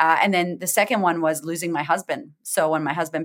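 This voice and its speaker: At a fairly quick pace, the speaker talks with a Boston accent on a very clean recording with a silent background. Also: woman. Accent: Boston American. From US, Boston, Massachusetts. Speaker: confidence coach. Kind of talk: interview. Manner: animated.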